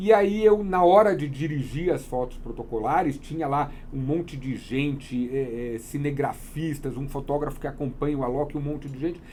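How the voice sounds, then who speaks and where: Fairly high-pitched man at a moderate pace, hardly any pauses, big swings in loudness, audible room echo, noticeable background noise. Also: ordinary pitch variation. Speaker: wedding photographer. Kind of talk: interview.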